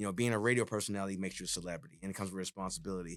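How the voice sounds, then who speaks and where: Recorded very cleanly against a silent background, a man with an East Coast US accent talks in a fairly low voice with fairly even intonation. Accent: non-Texan East Coast. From New York City (Jamaica, Queens). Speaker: DJ and retired radio personality. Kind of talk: podcast interview. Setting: studio.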